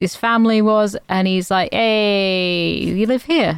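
A woman with a plain, everyday voice and a fairly high pitch speaks with ordinary pitch variation in a dry, close sound with no echo. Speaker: podcast co-host. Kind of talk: casual chat.

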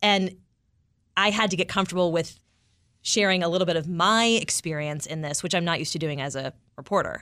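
A woman speaks loudly and energetically at a fairly quick pace, her fairly low voice bright and sharp with ordinary pitch variation, broken by long, frequent pauses, on a very clean recording with a silent background. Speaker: radio news reporter and podcast producer. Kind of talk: casual interview chat. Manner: loud, energetic.

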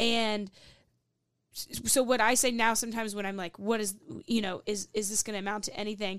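A woman with a Southern US accent talks at a fairly quick pace but with long, frequent pauses, her fairly high pitch held in monotone, flat intonation. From Louisville, Kentucky. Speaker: comedian. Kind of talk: casual chat. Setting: studio.

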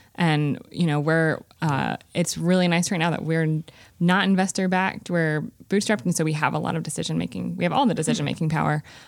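In a very clean recording with a silent background, a woman with a Southern US accent speaks at a fairly quick pace, her very deep, low pitch kept in fairly even intonation. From Greensboro, North Carolina. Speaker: startup founder. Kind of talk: casual interview chat.

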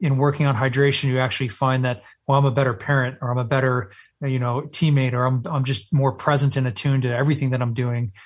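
A man with an American accent and a medium pitch speaks at a very fast pace, somewhat breathy, with fairly even intonation and a quiet background. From Texas. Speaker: Navy SEAL veteran and company CEO. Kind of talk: interview.

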